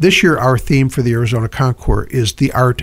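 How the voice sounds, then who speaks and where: A man's somewhat breathy voice sits at medium pitch with ordinary pitch variation. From upstate New York. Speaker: car show organizer. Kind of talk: radio interview.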